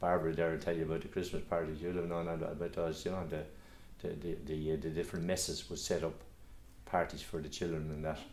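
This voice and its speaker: With a Kildare Irish accent, a man talks at a very fast pace in a very deep, low pitch. His intonation is monotone and flat, with audible room echo. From Ireland, Curragh Camp, Co Kildare. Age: 70s. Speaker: local historian. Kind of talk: reminiscence interview. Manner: halting, many repetitions and fillers.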